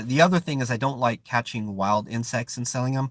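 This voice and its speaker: Close and dry with no echo, a man with an American accent talks at a fairly quick pace with ordinary pitch variation. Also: very clean recording, silent background. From Oakland, California. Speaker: live stream host and counselor. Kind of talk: casual live stream chat. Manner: searches for words, some hesitation.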